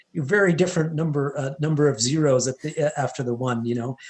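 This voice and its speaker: Speaking with a Canadian accent, a man moves at a fairly quick pace. His voice is somewhat breathy, with ordinary pitch variation. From western Canada, Edmonton Alberta, Indian household. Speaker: entrepreneur, former finance professional. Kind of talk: interview conversation. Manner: hesitant, many fillers and restarts.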